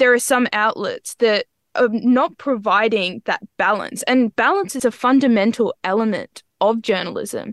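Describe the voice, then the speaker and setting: A woman's fairly high voice with an Australian accent, fairly slow pace, hardly any pauses, ordinary pitch variation and a dry, close sound with no echo. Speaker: student journalist. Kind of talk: interview.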